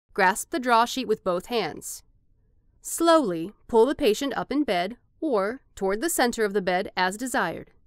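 A woman with an ordinary speaking voice talks at a moderate pace, her fairly high pitch carried by lively intonation, in a very clean recording with a silent background. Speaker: voice actor. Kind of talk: corporate narration for a medical product demo. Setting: studio.

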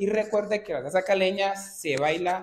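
Taking his time, a man talks at a fairly unhurried speed. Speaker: dance instructor. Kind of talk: tutorial. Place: studio. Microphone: camera far.

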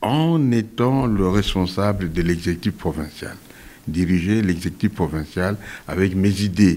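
At a moderate pace, a man speaks in a low pitch with a slightly mellow tone and ordinary pitch variation.

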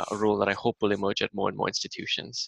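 A man's bright, sharp tone, dry with no echo, over a quiet background. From India. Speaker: professor and open education advocate. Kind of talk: webinar presentation. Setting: video call.

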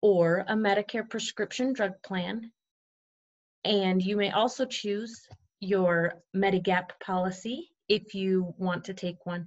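Her intonation is fairly even. The woman talks very slowly. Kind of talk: tutorial. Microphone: webcam.

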